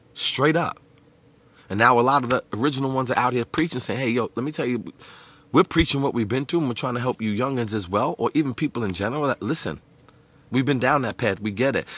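A very fast, animated delivery in a Brooklyn accent, with ordinary pitch variation and a dry sound with no echo. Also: man. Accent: New York (Brooklyn). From Brooklyn, New York. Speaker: motivational speaker. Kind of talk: motivational monologue. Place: garden. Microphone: earbuds.

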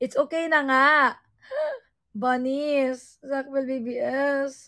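A woman's high-pitched voice, bright and sharp in tone, moves at a very slow pace. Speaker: livestreamer. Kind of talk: live stream chat. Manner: animated.

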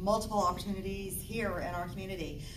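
Noticeable background noise sits behind the voice. A woman speaks in a monotone, flat way. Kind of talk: temple talk to congregation. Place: church. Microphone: camera far.

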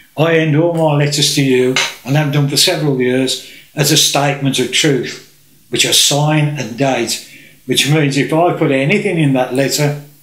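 A fairly high-pitched man at a fairly slow pace, fairly even in intonation, with audible room echo and a quiet background. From England. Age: old. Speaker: political campaigner. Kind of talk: presentation to camera. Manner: halting. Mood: indignant, earnest. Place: home room. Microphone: camera far.

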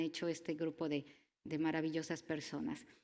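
A woman speaks against a quiet background. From Mexico. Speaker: university network engineer; conference presenter. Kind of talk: conference talk. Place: hall. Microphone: podium.

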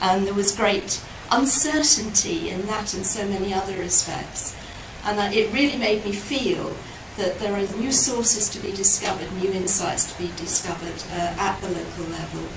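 A woman's voice at a moderate pace with ordinary pitch variation, over noticeable background noise. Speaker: lecturer. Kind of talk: lecture. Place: hall.

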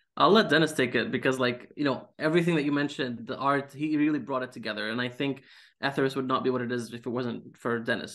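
With an Arabic accent, a man speaks very fast with hardly any pauses and ordinary pitch variation over a quiet background. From Syria. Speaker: comic book writer. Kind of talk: casual interview. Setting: video call. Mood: friendly, smiling. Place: home room. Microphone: video call.

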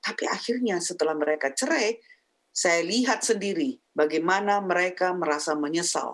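Lively intonation from a woman at a moderate pace, against a quiet background. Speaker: pastor's wife and marriage counselor; talk show guest. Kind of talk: teaching talk on marriage. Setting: video call from the United States. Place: home room. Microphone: video call.

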